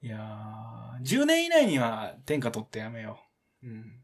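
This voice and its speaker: In a Kansai accent, a man talks at a moderate pace. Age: 20s. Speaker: podcast host. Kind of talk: casual chat. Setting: live stream recording. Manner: animated.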